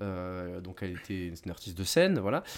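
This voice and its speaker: Against a silent background on a very clean recording, a man talks at a fairly quick pace. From southwestern France. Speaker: film critic. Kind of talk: casual chat. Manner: halting.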